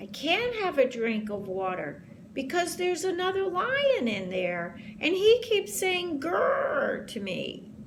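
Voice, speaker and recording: Someone speaks in a put-on character voice at a fairly slow pace. Background noise is clearly audible. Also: woman, extremely high pitch for a woman. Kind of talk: bedtime story. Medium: read story.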